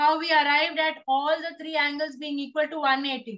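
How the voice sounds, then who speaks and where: Raised and projected, a woman's extremely high, bright, sharp voice carries an Indian accent and fairly even intonation. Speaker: teacher. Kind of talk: lecture. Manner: slow, steady.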